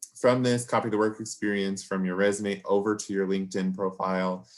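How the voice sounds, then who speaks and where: An unremarkable speaking voice moves at a moderate pace with fairly even intonation. The recording is very clean, the background silent. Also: man. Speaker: career advisor. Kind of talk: workshop presentation. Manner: casual, many fillers.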